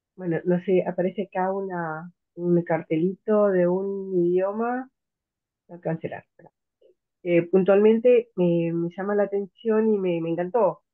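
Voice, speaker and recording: Here a woman talks at a fairly slow pace. Her pitch is medium and her intonation fairly even. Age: 60s. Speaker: student attending an open class. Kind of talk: audience comment in online class. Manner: halting.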